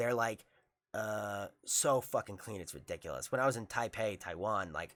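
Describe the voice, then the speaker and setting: On a very clean recording with a silent background, a man speaks at a moderate pace in a fairly low voice. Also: ordinary pitch variation. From New York, Long Island. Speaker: jiu-jitsu instructor. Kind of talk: casual chat. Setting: studio. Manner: halting, many fillers.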